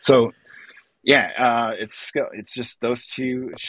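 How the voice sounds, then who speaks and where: Here a man talks with an American accent. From northern Illinois (Lake County). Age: 40s. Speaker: illustrator and artist. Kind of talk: casual chat.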